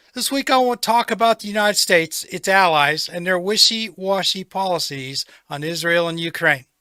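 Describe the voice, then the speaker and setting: A man's raised, projected voice, high-pitched with a bright, sharp tone and lively intonation, at a fairly quick pace with hardly any pauses, in a dry, close sound with no echo. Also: very clean recording, silent background. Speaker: political commentator. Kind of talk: political monologue. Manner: opinionated, critical.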